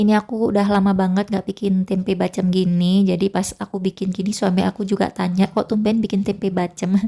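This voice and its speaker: A woman's dark, mellow voice at medium pitch, very fast in pace, with monotone, flat intonation. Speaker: housewife vlogger. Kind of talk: casual cooking vlog narration. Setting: home kitchen.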